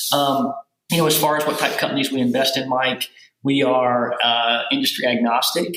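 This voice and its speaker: A man talks with a Southern US accent. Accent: Southern US accent, maintained. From US South, rural Kentucky. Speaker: venture capital investor. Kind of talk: podcast interview. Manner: many fillers and repetitions.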